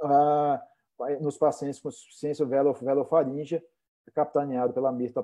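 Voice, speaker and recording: His intonation is fairly even. The man's pitch is fairly high, and his pace is moderate. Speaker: plastic surgeon, event organizer. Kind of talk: online medical conference moderation. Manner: halting, many repetitions.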